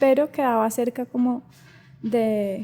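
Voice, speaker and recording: A woman speaks at a very slow pace with a fairly high pitch. Her tone is dark and mellow, with ordinary pitch variation. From Colombia, Cali area. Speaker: singer and voice artist. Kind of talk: interview conversation.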